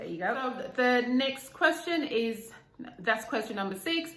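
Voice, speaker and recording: Audible room echo surrounds a fairly slow voice with a Zimbabwean accent. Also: woman. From Zimbabwe, Bulawayo. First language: Ndebele. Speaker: YouTuber. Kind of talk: casual vlog chat.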